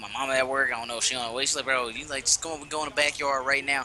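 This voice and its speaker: A man at a very fast pace, animated in tone, against noticeable background noise. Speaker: podcast co-host, gamer. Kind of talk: casual chat, storytelling. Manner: animated, casual.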